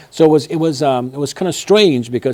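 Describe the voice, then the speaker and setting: Speaking at a very fast pace with a slight Persian accent, a man uses lively intonation and a dark, mellow tone. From Iran, Tehran. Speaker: martial arts businessman. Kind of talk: interview storytelling. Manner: halting, with many fillers.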